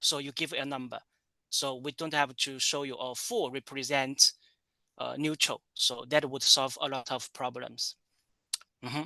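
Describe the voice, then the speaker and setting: A man with a Chinese accent speaks at a moderate pace in a fairly high, bright, sharp voice with fairly even intonation, recorded dry and close with no echo against a quiet background. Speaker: tourism professor. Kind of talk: lecture. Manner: halting, many fillers and repetitions.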